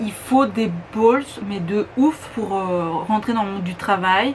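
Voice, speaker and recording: Woman at a very slow pace over noticeable background noise. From Belgium. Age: 20s. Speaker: beauty YouTuber. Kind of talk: casual talk to camera.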